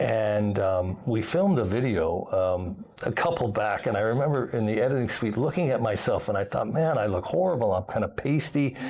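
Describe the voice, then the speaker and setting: Over noticeable background noise, a man talks with lively intonation and very even loudness. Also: medium pitch for a man, moderate pace. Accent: American. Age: 60s. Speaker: expat video blogger. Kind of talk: casual chat. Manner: halting, many fillers.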